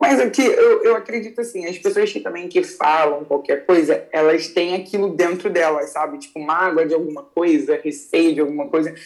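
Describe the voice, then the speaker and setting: There is noticeable background noise behind a woman's voice. She speaks at a moderate pace with hardly any pauses. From Rio de Janeiro, Brazil. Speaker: jiu-jitsu athlete. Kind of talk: casual interview.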